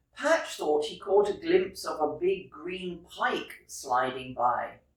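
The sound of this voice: Lively intonation at a slow pace, with audible room echo. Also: woman, low pitch for a woman.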